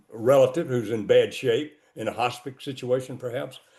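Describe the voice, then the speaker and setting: A man of medium pitch speaks in a Southern US accent. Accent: Southern US (Georgia). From US South. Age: 80s+. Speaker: cemetery founder. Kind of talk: interview. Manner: halting.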